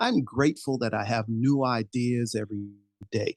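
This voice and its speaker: A man speaks in a plain, everyday voice at a medium pitch with ordinary pitch variation. His moderate pace comes through dry and close, with no echo. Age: 60s. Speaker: podcaster and educator. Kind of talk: interview.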